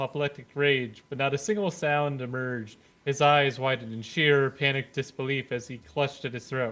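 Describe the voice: The voice is plain reading aloud. The text is simply read out.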